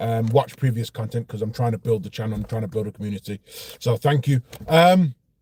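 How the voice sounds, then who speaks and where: With a Brummie accent, a man talks at a fairly quick pace and medium pitch, his dark, mellow tone somewhat breathy, with ordinary pitch variation and a dry, close sound with no echo. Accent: Birmingham (Brummie). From Birmingham, England. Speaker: car vlogger. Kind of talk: casual vlog monologue. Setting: outdoors near petrol station. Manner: hesitant, many fillers.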